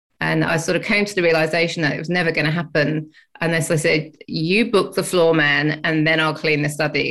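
This woman talks fairly quickly. Her voice sits fairly low. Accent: English. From England. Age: 50s. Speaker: ADHD advocate and educator. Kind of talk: interview chat.

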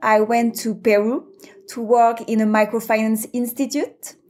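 Speaking at a fairly slow pace, a woman has a fairly high pitch and a dark, mellow tone. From France. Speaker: venture capital investor. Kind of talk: interview.

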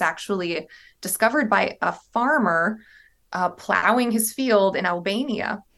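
Over a quiet background, a woman with a fairly high pitch talks at a moderate pace with lively intonation in an unremarkable speaking voice. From US South, southern Virginia (Appalachia). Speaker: museum curator. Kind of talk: interview.

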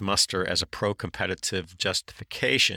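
In a very clean recording with a silent background, a man speaks in a bright, sharp tone. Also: dry, close sound with no echo. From US South, North Carolina (Durham). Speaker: podcast host, college sports commentator. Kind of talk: solo monologue analysis.

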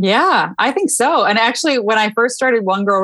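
Fairly quick delivery with an American accent. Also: woman. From US Midwest (Michigan). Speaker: podcast host and author. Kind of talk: casual interview chat.

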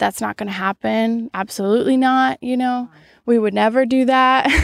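A woman's voice comes through dry and close with no echo on a very clean recording with a silent background. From US Pacific Northwest (Washington), born in Brazil. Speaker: podcast guest, expat. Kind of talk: casual interview conversation.

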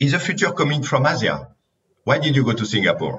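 Speaking fairly quickly with a French accent, a man shows noticeable vocal fry. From France. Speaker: podcast host, company CEO. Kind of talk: interview.

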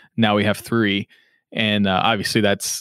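A fairly low-pitched man with a slight Southern accent, dry and close with no echo, on a very clean recording with a silent background. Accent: slight southern drawl. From Western Kentucky (Henderson). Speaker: podcast production company founder and CEO. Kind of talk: casual interview.

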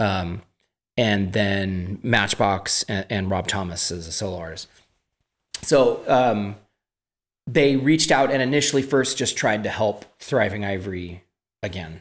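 With an American accent, a man speaks at a fairly slow pace and fairly low pitch, with ordinary pitch variation and long, frequent pauses. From California. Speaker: singer and songwriter. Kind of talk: casual chat.

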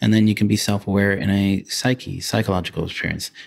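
In a calm tone and a fairly low pitch, a man talks at a fairly quick pace on a very clean recording with a silent background. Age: 40s. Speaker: functional neurologist. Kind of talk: interview.

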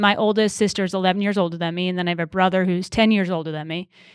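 Using a plain, everyday voice, a woman with an American accent speaks with fairly even intonation on a very clean recording with a silent background. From Western Massachusetts. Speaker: race car driver and TV commentator. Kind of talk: interview.

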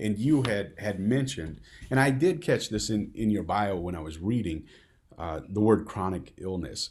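A man speaks in an ordinary speaking voice, at a moderate pace with lively intonation. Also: fairly low pitch for a man. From US Midwest. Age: 40s. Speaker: podcast host. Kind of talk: interview conversation.

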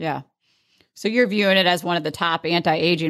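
A woman's unremarkable speaking voice, fairly low in pitch and fairly quick, with fairly even intonation against a quiet background. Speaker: podcast host. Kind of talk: interview.

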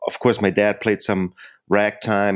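Dry, close sound with no echo and a German accent. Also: man. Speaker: jazz pianist and singer-songwriter. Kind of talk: interview.

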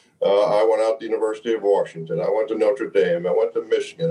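With noticeable background noise, a man speaks in an American accent. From New Jersey, Montclair. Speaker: former athlete and leader. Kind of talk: interview.

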